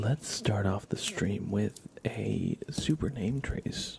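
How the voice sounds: A man speaks at a slow pace with a fairly low pitch, a slightly mellow tone, a husky, rough edge, vocal fry, and ordinary pitch variation.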